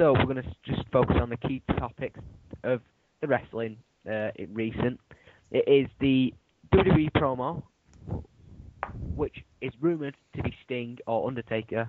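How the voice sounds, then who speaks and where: A man with a British accent at a moderate pace and medium pitch, ordinary pitch variation, and long, frequent pauses. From Britain. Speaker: YouTube wrestling chat host. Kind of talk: casual chat. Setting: Skype call. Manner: halting.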